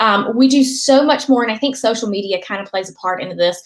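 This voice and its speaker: Lively intonation and a fairly quick pace mark this voice with a Southern US accent. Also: woman. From North Carolina. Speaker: political strategist, author. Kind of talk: interview answer.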